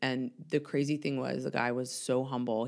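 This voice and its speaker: Vocal fry runs through a woman's very deep, low voice as she speaks with an American accent and fairly even intonation. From US South, Atlanta. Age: 40s. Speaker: mental health worker in recovery. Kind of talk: casual chat. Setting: studio.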